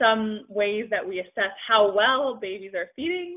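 A woman speaks against a quiet background. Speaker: presenter. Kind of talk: lecture. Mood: friendly, enthusiastic. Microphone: webcam.

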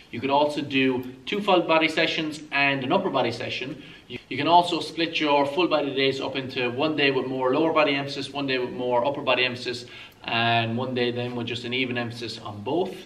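This man talks at a fairly quick pace. His pitch varies in an ordinary way. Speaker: fitness coach. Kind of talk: tutorial. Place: gym.

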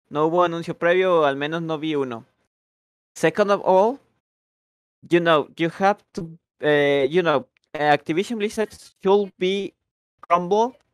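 A man's high-pitched voice at a very slow pace, with long, frequent pauses. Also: ordinary pitch variation, big swings in loudness, dry, close sound with no echo. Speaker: English teacher. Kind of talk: online language class. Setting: voice chat on Discord. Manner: switches between English and Spanish.

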